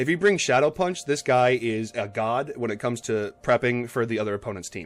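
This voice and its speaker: A man talks at a fairly quick pace. His pitch is medium and his intonation lively. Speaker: gaming video host. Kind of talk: casual chat. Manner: fast.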